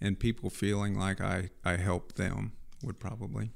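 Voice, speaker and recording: A fairly low-pitched man with a Midwestern American accent at a moderate pace. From Missouri, US Midwest. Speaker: accounting firm chief executive. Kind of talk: interview. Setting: studio. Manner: hesitant, many fillers.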